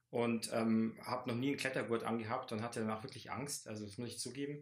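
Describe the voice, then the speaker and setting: A normal speaking voice, a man's at medium pitch, fairly quick in pace with fairly even intonation. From Lower Bavaria, Landshut. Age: 30s. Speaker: teacher and climber. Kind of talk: casual interview.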